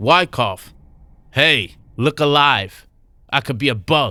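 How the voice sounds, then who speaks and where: A booming, growling put-on character voice from a man at medium pitch, fairly slow in pace, on a very clean recording with a silent background. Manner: growling, pissed off.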